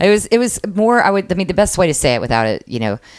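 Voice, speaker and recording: Her pitch swings very widely. The woman has an American accent. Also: very clean recording, silent background. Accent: Chicago accent with some Southern words. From Michigan and Chicago, with time in South Carolina. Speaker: improv teacher and performer. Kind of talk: casual interview chat. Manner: halting, many fillers.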